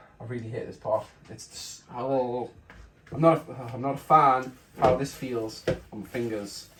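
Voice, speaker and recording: Over noticeable background noise, a man of medium pitch speaks at a moderate pace with fairly even intonation and big swings in loudness. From northeast England (Geordie). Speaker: cooking video creator. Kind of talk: casual cooking tutorial. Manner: hesitant, with frequent fillers.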